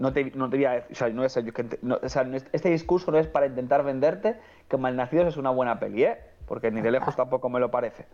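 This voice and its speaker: A man with a medium pitch talks very fast, his pitch varying in an ordinary way. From Andalusia, Cádiz (El Puerto de Santa María). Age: 20s. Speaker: film commentator, online film critic. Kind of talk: casual chat.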